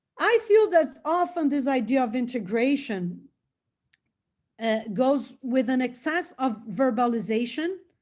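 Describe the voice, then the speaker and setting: Speaking fairly slowly in a Brazilian Portuguese accent, a woman uses a high pitch and lively intonation. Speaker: anthropologist and psychedelic researcher. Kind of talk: lecture. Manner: halting, with frequent fillers and repetitions.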